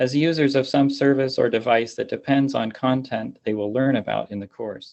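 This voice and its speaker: A man with an American accent has an ordinary speaking voice at a medium pitch. His intonation is fairly even and his pace moderate. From Pittsburgh, Pennsylvania, US. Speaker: computer science professor. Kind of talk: conference lecture. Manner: formal.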